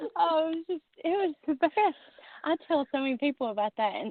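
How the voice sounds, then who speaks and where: With a Southern US accent, a woman's voice moves through very wide pitch swings. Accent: Southern US, noticeable. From US South. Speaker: guest, tarot reader. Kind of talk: casual chat. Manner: animated.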